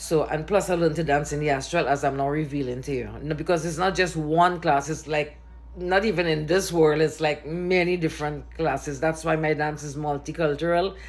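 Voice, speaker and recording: This woman's pitch is very deep and low, with vocal fry and an animated tone. She talks at a fairly quick pace with hardly any pauses. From Trinidad and Tobago. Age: 70s. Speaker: dancer. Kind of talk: personal testimony to camera. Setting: recording self on camera. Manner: animated, conversational with hesitations.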